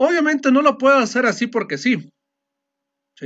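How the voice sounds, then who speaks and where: The speaker is a man. All is quiet behind him. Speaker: teacher. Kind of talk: lecture. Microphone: video call.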